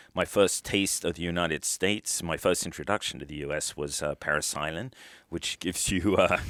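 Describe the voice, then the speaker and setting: Over a very clean, silent background, a man with a British accent speaks in a very deep, low pitch with ordinary pitch variation and a dry, close sound with no echo. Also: fairly quick pace. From UK. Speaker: retired military officer and author. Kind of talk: interview. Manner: halting.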